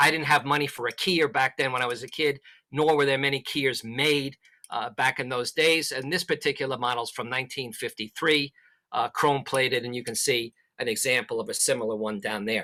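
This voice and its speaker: In a very clean recording with a silent background and a dry, close sound with no echo, a man talks at a fairly quick pace with medium pitch and fairly even intonation. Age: 60s. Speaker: amateur radio instructor. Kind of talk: presentation. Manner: hesitant, many fillers.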